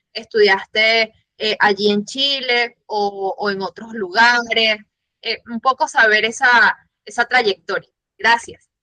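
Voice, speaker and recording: Very slow, bright, sharp speech from a fairly high-pitched woman with a Venezuelan accent, fairly even intonation, and a dry, close sound with no echo. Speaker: audience member, communications staff. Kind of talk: audience question.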